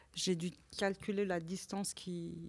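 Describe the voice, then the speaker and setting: A woman speaks very slowly with a Persian accent. Her medium-pitched voice is monotone and flat. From Iran. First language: Persian (speaking French). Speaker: visual artist. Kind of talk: conversation at an exhibition talk. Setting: gallery talk with audience. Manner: halting, many repetitions.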